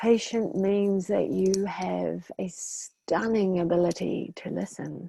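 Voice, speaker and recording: Very slow, calm and soothing delivery in a dark, mellow tone. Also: woman. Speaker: hypnotherapist and meditation guide. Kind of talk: guided meditation. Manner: calm, slow, soothing.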